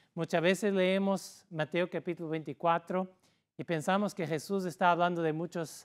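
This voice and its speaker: Man with a non-native accent, high-pitched, fairly even intonation, fairly slow pace, dry, close sound with no echo and a very clean recording over a silent background. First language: not Spanish (speaking Spanish). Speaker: pastor. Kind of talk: sermon. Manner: halting.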